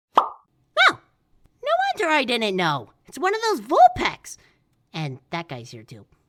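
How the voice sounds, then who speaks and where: Someone uses a put-on character voice at a fairly high pitch, with long, frequent pauses. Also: moderate pace. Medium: audio drama. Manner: snappy.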